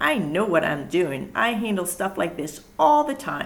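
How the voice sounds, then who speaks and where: Using a growling, put-on character voice, a woman speaks at a moderate pace with a medium pitch. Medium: read story. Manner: snarly, sly.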